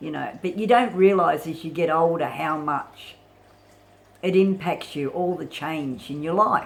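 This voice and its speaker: The speaker talks at a fairly slow pace with an Australian accent. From Australia (Sydney). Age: 50s. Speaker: vlogger. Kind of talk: casual monologue vlog. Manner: halting, many fillers.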